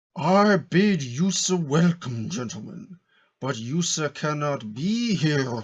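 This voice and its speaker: A man uses a put-on character voice at a fairly high pitch, with lively intonation and a fairly slow pace. The recording is very clean, with a silent background. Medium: read story.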